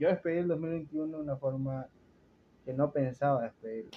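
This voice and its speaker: This man speaks with a coastal Ecuadorian accent. His pace is moderate. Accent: coastal Ecuadorian (Guayaquil). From Ecuador, Guayaquil. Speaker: podcast host. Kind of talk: casual chat.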